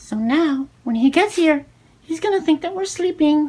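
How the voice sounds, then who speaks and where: Using a put-on character voice, a man talks at an extremely high pitch. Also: moderate pace. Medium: role play. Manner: sassy, deadpan.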